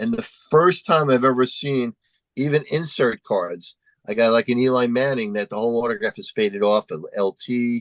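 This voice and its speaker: A man speaks in an unremarkable speaking voice at medium pitch and a moderate pace, with lively intonation, in a dry, close sound with no echo. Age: 60s. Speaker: autograph dealer. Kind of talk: casual chat. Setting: in person.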